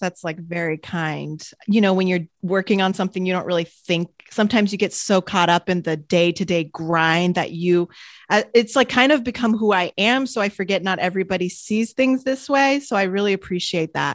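Using a normal speaking voice, a woman talks at a fairly quick pace in a medium pitch with ordinary pitch variation, the sound dry and close with no echo against a quiet background. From France / US, French-American. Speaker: entrepreneur and wellness podcaster. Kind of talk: casual interview chat.

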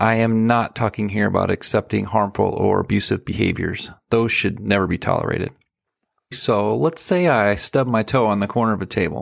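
On a very clean recording with a silent background, a man with a fairly low pitch and vocal fry speaks with ordinary pitch variation and very even loudness. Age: 40s. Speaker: podcast host. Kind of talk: solo podcast monologue.

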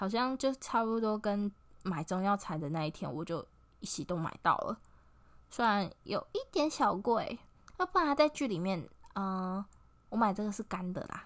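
On a very clean recording with a silent background, a woman of medium pitch talks at a moderate pace with lively intonation and long, frequent pauses. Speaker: podcast host. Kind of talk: casual solo podcast talk. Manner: halting, many fillers.

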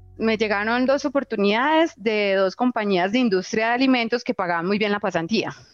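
Over music in the background, the speech runs at a fairly quick pace with hardly any pauses, very even loudness and ordinary pitch variation. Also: woman, fairly high pitch for a woman. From Colombia, Antioquia (Itagüí). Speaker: agritech founder, zootechnician. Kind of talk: personal storytelling interview. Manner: candid, unfiltered.

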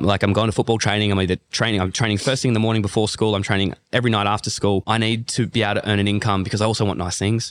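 The speaker has an Australian accent and a very fast pace. Loudness stays very even, and the intonation is fairly even. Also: man, very clean recording, silent background. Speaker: CrossFit athlete. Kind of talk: casual chat. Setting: fitness retreat in Bali.

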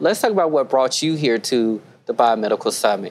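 There is noticeable background noise throughout. Over it, a woman talks in an American accent. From the Carolinas, US South. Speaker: podcast host. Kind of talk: panel conversation. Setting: live podcast at a conference.

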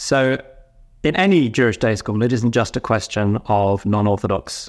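A man speaks at a fairly slow pace with a British accent and a fairly low pitch. The recording is very clean, with a silent background. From United Kingdom. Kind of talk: interview.

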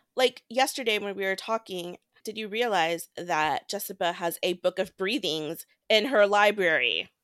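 In a very clean recording with a silent background and a dry, close sound with no echo, a woman uses a normal speaking voice at medium pitch, moderate pace and ordinary pitch variation. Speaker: book podcast co-host. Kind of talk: casual chat.

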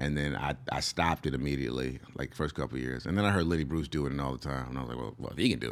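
A man talks at a very fast pace with hardly any pauses, his pitch very deep and low. There is vocal fry, and his pitch varies in an ordinary way. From US, moved often. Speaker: stand-up comedian. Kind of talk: casual interview. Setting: studio.

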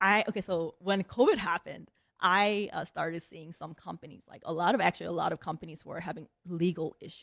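A woman with a Korean accent and a fairly low pitch speaks with hardly any pauses in fairly even intonation. Her loudness swings widely, heard in a dry, close sound with no echo. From South Korea, moved to Chicago at ten. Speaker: managing partner at a private equity firm, army veteran. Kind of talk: interview.

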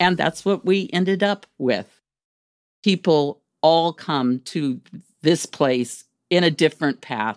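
On a very clean recording with a silent background and a dry, close sound with no echo, a woman with a fairly low pitch talks at a very slow pace, her intonation lively, with long, frequent pauses. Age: 70s. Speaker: retired nurse and grandmother, Peloton member. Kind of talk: testimony.

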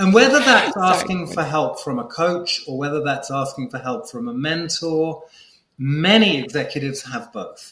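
This man talks at a moderate pace in a fairly high voice, with lively intonation, big swings in loudness and audible room echo. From Malta. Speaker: executive coach. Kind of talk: interview.

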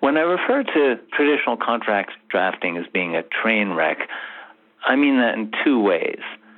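His pitch medium, a man speaks with very wide pitch swings. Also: moderate pace. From England. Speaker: contract drafting consultant and author. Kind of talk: interview.

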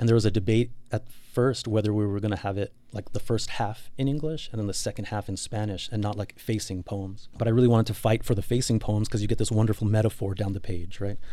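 Speaking at a fairly quick pace, a man with an American accent has a fairly low pitch and fairly even intonation. His tone is dark and mellow, on a very clean recording with a silent background. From El Paso, Texas (Lower Valley). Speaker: author and poet. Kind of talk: interview.

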